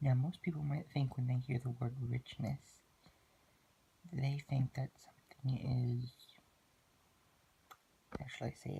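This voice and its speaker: A man with a medium pitch speaks in a somewhat breathy, monotone, flat way, leaving long, frequent pauses. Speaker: student. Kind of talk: class presentation narration.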